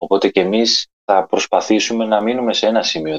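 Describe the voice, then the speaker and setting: A man talks fairly quickly at a fairly low pitch, an unremarkable speaking voice. The sound is dry and close, with no echo. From southern Greece, Messinia (village near Methoni). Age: young. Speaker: guest. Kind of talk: casual interview chat.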